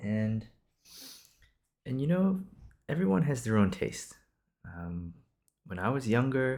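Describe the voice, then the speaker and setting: A man at medium pitch in a relaxed tone, with very wide pitch swings and long, frequent pauses. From Singapore. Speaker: podcaster. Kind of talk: improvised casual monologue. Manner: casual, with frequent fillers and restarts.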